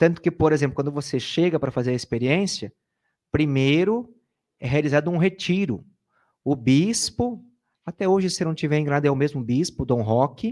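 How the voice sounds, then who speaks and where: Lively in intonation, a man with a plain, everyday voice speaks at a fairly high pitch and a moderate pace. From Brazil, Sorocaba, São Paulo state. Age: 30s. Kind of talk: interview, sharing personal testimony. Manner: casual, conversational.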